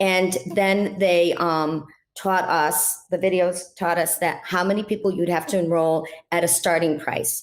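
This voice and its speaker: The woman has an ordinary speaking voice, fairly low in pitch, with fairly even intonation at a fairly slow pace. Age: 60s. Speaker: health coach, former dental hygienist. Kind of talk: interview.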